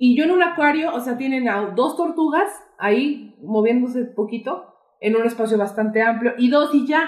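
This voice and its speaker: In a Mexican accent, a woman speaks at a moderate pace with a high pitch and lively intonation. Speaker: podcast co-host. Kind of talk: casual chat. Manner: animated.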